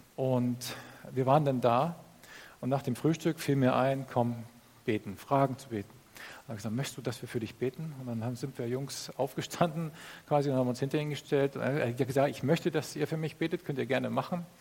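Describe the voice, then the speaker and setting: A man's medium-pitched voice, somewhat breathy, at a fairly quick pace, with fairly even intonation and big swings in loudness. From northern Germany. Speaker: pastor. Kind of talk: sermon.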